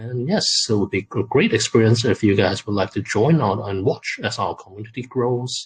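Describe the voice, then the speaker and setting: A man's medium-pitched, somewhat breathy voice with a non-native accent, moderate pace and ordinary pitch variation. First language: not English. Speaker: crypto game project representative. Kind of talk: AMA interview answers. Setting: video call AMA. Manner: halting, many fillers.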